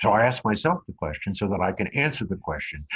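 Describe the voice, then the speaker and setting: A man talks with an American accent in a somewhat breathy voice at a fairly low pitch. The sound is dry and close, with no echo. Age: 70s. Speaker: author and business speaker. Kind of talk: motivational talk.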